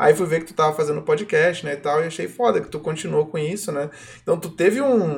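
A man talks in a plain, everyday voice at a fairly quick pace. His pitch varies in an ordinary way, and his loudness swings widely. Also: fairly high pitch for a man. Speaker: podcast host. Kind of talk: casual chat. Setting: live stream.

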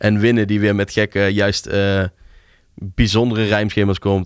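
A man's fairly low voice in monotone, flat intonation at a moderate pace, on a very clean recording with a silent background. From Tilburg, Netherlands. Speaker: music programmer and DJ. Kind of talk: casual interview. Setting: studio.

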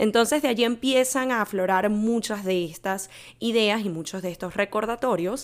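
In an ordinary speaking voice, a woman speaks at a moderate pace with fairly high pitch and ordinary pitch variation, on a very clean recording with a silent background. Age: 20s. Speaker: podcast host and life coach. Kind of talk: solo podcast monologue.

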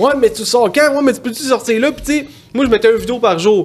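A man with a Quebec accent at a fairly quick pace, over noticeable background noise. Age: 30s. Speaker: prank-call content creator. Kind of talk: casual chat.

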